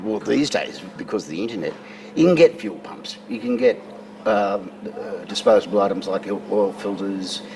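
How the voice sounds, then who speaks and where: A man with an Australian accent speaks at a moderate pace, his loudness swinging widely. Noticeable background noise is present. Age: 60s. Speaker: classic car owner. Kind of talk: casual interview.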